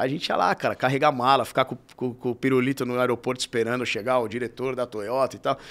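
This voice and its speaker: Very fast speech from a man, the intonation fairly even. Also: medium pitch for a man, hardly any pauses, very clean recording, silent background. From Brazil, São Paulo (Vila Maria, north zone). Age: 30s. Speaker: futsal club president, sports marketing executive. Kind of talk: interview. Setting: studio. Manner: casual, halting with repetitions.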